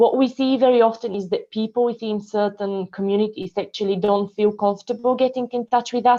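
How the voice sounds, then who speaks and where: A woman with a Bulgarian accent, fairly high in pitch yet dark and mellow in tone, speaking fairly quickly with fairly even intonation. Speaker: council community support officer. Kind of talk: online meeting presentation. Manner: hesitant, many fillers.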